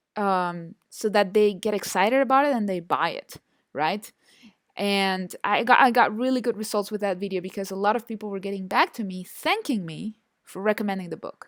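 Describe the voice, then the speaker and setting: Medium-pitched female speech in a Spanish accent, at a moderate pace with ordinary pitch variation. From Chile. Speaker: online marketing instructor. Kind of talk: online course lecture. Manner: hesitant, many fillers and repetitions.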